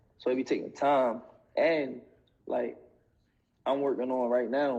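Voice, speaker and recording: A man speaks in a medium pitch with monotone, flat intonation. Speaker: rapper. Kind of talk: casual interview. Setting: Instagram live video. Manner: stumbling over words.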